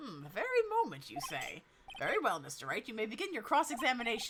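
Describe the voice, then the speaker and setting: This put-on character voice sits fairly high and races along at a very fast pace, with very wide pitch swings. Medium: game stream. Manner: formal, ponderous.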